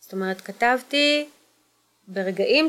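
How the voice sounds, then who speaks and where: Speaking with a plain, everyday voice, a woman uses lively intonation, pitched fairly high and paced rather slowly. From Israel, Kfar Saba area. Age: 40s. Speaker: social entrepreneur. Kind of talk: personal testimony.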